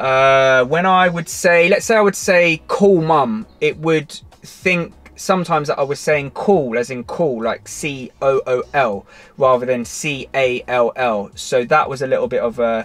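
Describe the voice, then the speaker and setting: A man with a British accent, fairly high in pitch and fairly slow, his intonation lively. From Britain. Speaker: car tech YouTuber. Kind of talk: tutorial. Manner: casual, with many fillers and restarts.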